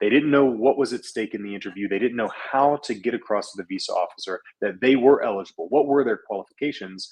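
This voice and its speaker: A man speaks at a very fast pace, his medium-pitched voice showing ordinary pitch variation. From western Kentucky. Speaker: former visa officer, visa consultant. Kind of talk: live-stream interview.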